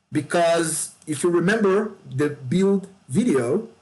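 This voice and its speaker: Speaking with a Brazilian Portuguese accent, a man talks at a very slow pace. His voice is fairly high, with ordinary pitch variation. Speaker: gaming YouTuber. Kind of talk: game tutorial. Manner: casual, with fillers and repetitions.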